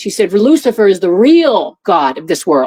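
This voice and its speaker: A woman talks in a medium pitch. The sound is dry and close, with no echo. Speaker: former airport security officer and whistleblower. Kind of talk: interview testimony. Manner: fast; halting, many fillers and repeats.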